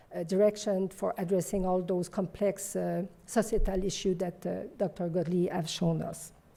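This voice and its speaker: A dark, mellow voice in a French accent, with vocal fry and monotone, flat intonation. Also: woman, medium pitch for a woman, moderate pace. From Quebec. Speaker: physician and professor. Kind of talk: conference talk.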